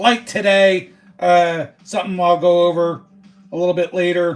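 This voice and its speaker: Loud and at a fairly slow pace, a man with a high pitch speaks in an American accent. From Philadelphia area, US. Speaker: sports card livestreamer. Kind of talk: casual live stream chat. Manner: loud and boisterous.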